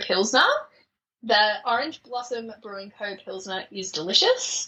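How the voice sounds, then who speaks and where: This woman talks at a fairly slow pace. Her pitch is fairly high, and she has an Australian accent. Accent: thick Australian. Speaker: podcast guest, traveller. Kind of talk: casual interview chat. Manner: hesitant, many fillers.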